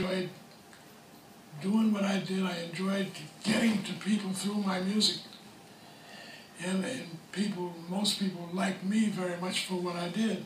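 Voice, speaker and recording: With light background noise and audible room echo, a man speaks at a moderate pace in a monotone, flat intonation, leaving long, frequent pauses. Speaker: session bass player. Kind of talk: interview answer. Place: home room.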